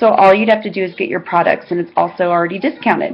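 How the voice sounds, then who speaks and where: Light background noise sits behind a woman whose intonation stays fairly even. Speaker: network marketing seller. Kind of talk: casual vlog chat. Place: home room. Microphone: webcam.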